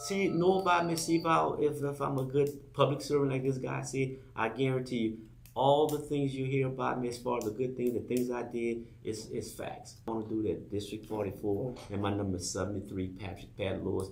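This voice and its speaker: This man talks at a fairly quick pace with lively intonation and a somewhat breathy voice, and room echo is audible. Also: medium pitch for a man. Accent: Louisiana. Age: 60s. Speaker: political candidate. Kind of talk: campaign pitch on talk show. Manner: halting, repetitive.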